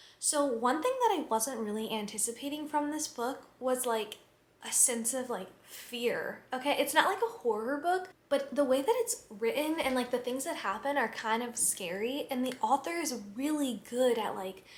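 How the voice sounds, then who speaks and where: This woman's voice sits at a high pitch and moves with ordinary pitch variation. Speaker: book vlogger. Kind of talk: casual vlog chat. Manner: fast, chatty with many fillers.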